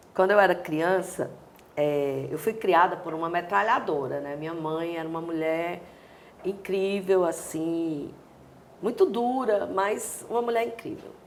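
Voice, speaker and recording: A woman's fairly low voice in a Cearense accent, with ordinary pitch variation, noticeable background noise and audible room echo. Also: fairly slow pace, big swings in loudness. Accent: Cearense Brazilian Portuguese. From Brazil, Ceará (Fortaleza). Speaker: dancer and choreographer. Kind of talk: interview.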